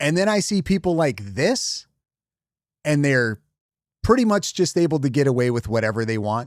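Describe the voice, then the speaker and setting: The recording is very clean, with a silent background and a dry, close sound with no echo. A man with a fairly high pitch speaks at a moderate pace, his pitch swinging very widely, with long, frequent pauses. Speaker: reaction streamer. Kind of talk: live commentary on an interview. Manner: blunt, angry.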